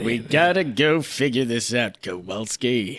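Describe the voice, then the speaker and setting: A man's put-on character voice at medium pitch, delivered at a fairly slow pace. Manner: bossy, brisk.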